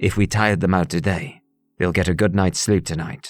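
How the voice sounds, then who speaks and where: Growling at a fairly quick pace, a man does a put-on character voice with a very deep, low pitch. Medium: read story. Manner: calm, assured.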